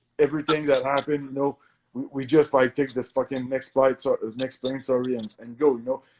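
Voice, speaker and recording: A man with a Quebec accent speaks very fast at medium pitch in a monotone, flat intonation, with big swings in loudness and dry, close sound with no echo. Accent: French-Canadian accent in English. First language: French. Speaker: professional MMA fighter. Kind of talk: podcast interview. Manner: halting, many fillers and self-corrections.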